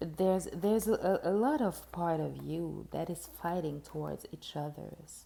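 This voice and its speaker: Speaking with a non-native accent, a woman keeps a fairly slow pace with hardly any pauses. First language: not English. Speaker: tarot reader. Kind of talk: tarot reading monologue. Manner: halting, many fillers and repeats.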